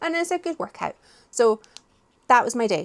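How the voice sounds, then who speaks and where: Spoken with a Scottish accent and very wide pitch swings, the voice sounds dry and close with no echo, on a very clean recording with a silent background. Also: woman. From Scotland. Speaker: book vlogger. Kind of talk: casual vlog chat. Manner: animated.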